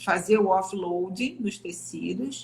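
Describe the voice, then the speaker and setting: Using a normal speaking voice, a woman varies her pitch in an ordinary way while going at a fairly slow pace. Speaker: physiotherapist. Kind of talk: live stream interview. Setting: online live stream.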